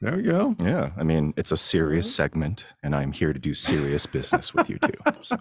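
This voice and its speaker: At a moderate pace, a man speaks against a quiet background, the sound dry with no echo. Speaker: tech show producer, guest segment host. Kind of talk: casual podcast banter, reading headlines. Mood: playful, relaxed. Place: home room. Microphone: studio mic.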